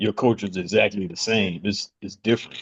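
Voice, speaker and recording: A man in a Southern US accent speaks at a moderate pace and fairly low pitch, with a dry, close sound and no echo. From US South, North Carolina (Charlotte). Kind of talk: casual chat.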